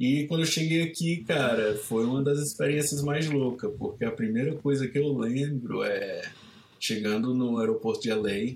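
At a fairly slow pace, a man with a medium-pitched, somewhat breathy voice speaks with lively intonation. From Ceará, Brazil (Caucaia). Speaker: surf photographer and filmmaker. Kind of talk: casual interview.

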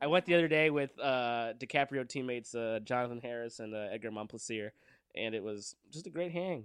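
At a fairly quick pace, a man talks in a Southern California accent. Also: medium pitch for a man, ordinary pitch variation, quiet background. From Downey, California (Los Angeles suburb). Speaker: improv comedian. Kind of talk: casual chat.

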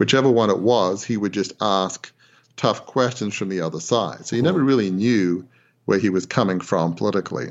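Speaking at a fairly quick pace, a man with an Australian accent has a fairly low pitch. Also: ordinary pitch variation. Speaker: former newspaper proprietor. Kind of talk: interview. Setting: phone call. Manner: halting.

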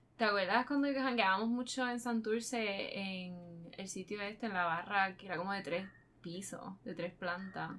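Her tone bright and sharp, a woman talks at a moderate pace with ordinary pitch variation. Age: 20s. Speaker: true crime podcast co-host. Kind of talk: casual chat.

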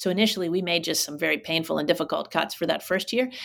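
Vocal fry runs through this American-accented woman's fairly low voice, captured in a very clean recording against a silent background. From Pittsburgh, Pennsylvania. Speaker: former college president. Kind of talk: interview. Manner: many fillers and restarts.

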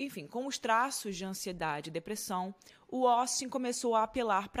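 A woman with a Brazilian accent, fairly high-pitched, with lively intonation at a moderate pace, on a very clean recording with a silent background. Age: 20s. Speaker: true crime podcast host. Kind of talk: true crime storytelling narration. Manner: conversational, chatty asides.

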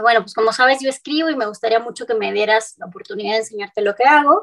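Using an ordinary speaking voice, a woman with a fairly high pitch talks at a fairly quick pace with lively intonation. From northern Mexico, Cuauhtémoc, Chihuahua. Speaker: singer-songwriter. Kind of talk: interview.

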